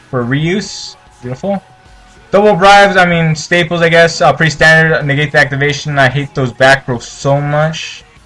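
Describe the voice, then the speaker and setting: A man's pitch varies in an ordinary way while music sounds in the background. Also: moderate pace. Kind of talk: casual deck profile commentary. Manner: stumbling, many filler words.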